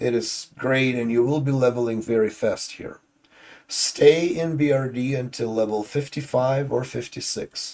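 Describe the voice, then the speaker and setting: A man's medium-pitched voice, fairly slow in pace. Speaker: gaming YouTuber. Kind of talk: gaming guide tutorial. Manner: casual, with filler words.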